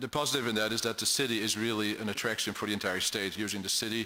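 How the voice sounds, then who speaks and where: In a European accent, a man with a fairly low pitch and a bright, sharp tone talks very fast in a flat monotone. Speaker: state official for international business development. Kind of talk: testimony at a public hearing. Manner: halting, many fillers and repeats.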